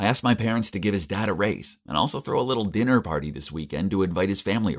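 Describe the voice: The speaker is doing plain reading aloud. Pitch variation is ordinary.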